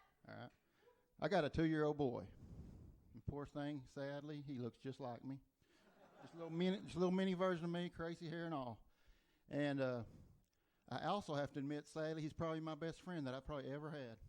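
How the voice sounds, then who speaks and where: With an Oklahoma accent, a man talks at a very fast pace and a fairly high pitch, with ordinary pitch variation and long, frequent pauses. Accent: Oklahoma Southern. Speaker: stand-up comedian. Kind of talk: stand-up. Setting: comedy club stage with audience.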